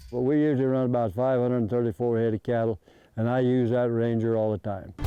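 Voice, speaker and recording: A man's medium-pitched voice at a very fast pace, with fairly even intonation and very even loudness. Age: 80s+. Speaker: rancher. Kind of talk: documentary interview.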